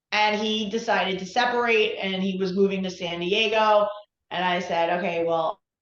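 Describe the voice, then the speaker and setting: With an American accent, a woman talks at a moderate pace in an ordinary speaking voice, her medium pitch carried by fairly even intonation. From New York. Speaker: relationship coach. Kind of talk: interview.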